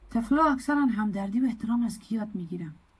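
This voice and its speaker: The speaker talks with an Afghan accent and sounds somewhat breathy. Pitch varies in an ordinary way. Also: woman. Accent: Afghan Dari. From Afghanistan. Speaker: community advocate, program coordinator. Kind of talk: presentation lecture.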